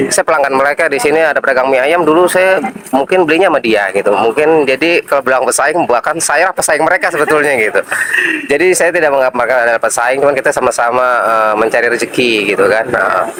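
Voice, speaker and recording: A man with a Jakarta accent, fairly high in pitch, very fast, with ordinary pitch variation, very even loudness and noticeable background noise. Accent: Jakarta Betawi-style. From Jakarta, Indonesia. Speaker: street food vendor. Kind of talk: interview.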